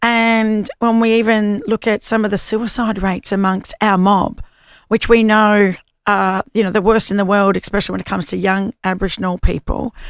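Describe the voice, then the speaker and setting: A woman speaks with an Australian accent and fairly even intonation. The sound is dry and close with no echo, in a very clean recording with a silent background. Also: medium pitch for a woman, moderate pace. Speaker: podcast host. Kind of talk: podcast interview questions.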